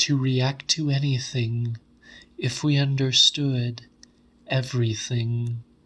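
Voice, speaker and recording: A man whispers in a put-on character voice at a fairly slow pace. The voice is resonant. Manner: whispering, slow monotone.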